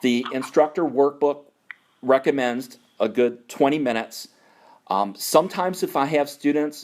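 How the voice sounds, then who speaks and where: The speaker has an American accent. The pitch variation is ordinary. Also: man, fairly high pitch for a man. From New York. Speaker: naturalist course instructor. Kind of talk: conference call mentoring talk. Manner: slower and louder.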